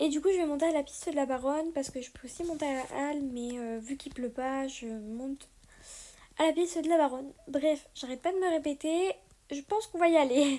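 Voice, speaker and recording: At a fairly quick pace, a woman with a high pitch speaks in a dark, mellow tone with ordinary pitch variation. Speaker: horse rider vlogger. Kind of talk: casual vlog talk. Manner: hesitant, many fillers.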